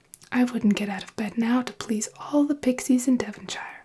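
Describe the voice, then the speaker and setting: This voice is soft-spoken with a gentle tone. The pace is moderate. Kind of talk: fairy tale reading with character voices. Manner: soft-spoken, gentle.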